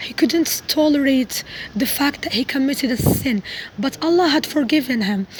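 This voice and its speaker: A woman's high-pitched voice at a fairly slow pace over noticeable background noise. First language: not English. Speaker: religious video vlogger. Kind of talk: casual monologue. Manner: halting, self-correcting.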